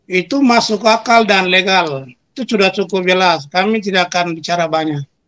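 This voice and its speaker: With a bright, sharp tone, a man speaks at a fairly quick pace in a high pitch. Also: ordinary pitch variation. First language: Papuan local language (speaking Indonesian). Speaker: spokesman of armed separatist group. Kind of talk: interview.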